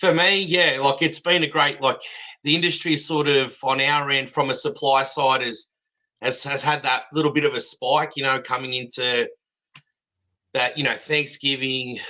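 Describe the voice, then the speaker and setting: Speaking at a moderate pace with an Australian accent, a man uses a fairly high pitch, a bright, sharp tone and fairly even intonation. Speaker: fence supplier. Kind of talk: casual chat.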